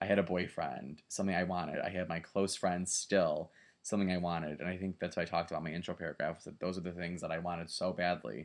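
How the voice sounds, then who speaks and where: A man with an American accent talks very fast with hardly any pauses and a very deep, low pitch. His intonation stays fairly even. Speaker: graduate student. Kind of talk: video presentation for a class. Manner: casual, hesitant with fillers.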